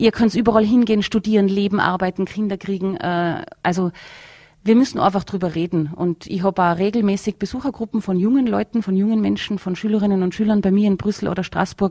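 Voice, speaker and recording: A woman's dark, mellow voice at a fairly quick pace with fairly even intonation, in a dry, close sound with no echo. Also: medium pitch for a woman. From Tyrol, Austria (near Bavarian border). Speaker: politician (member of European Parliament). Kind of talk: interview. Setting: studio.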